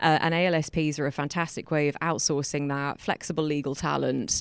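In a very clean recording with a silent background, a woman speaks with an English accent. Her pitch is very deep and low, with fairly even intonation. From England. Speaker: lawyer and community founder. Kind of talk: live interview with audience Q&A. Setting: lecture hall with live audience.

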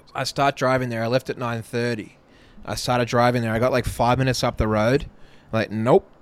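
A man with an Australian accent at a fairly quick pace, in a dry, close sound with no echo. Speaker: podcast co-host. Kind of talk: casual chat.

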